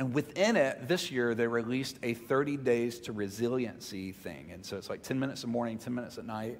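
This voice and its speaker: Loudness swings widely as a man with a Southern US accent talks with ordinary pitch variation. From Mississippi, US South. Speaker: pastor. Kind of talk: sermon. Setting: church. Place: church. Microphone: headset.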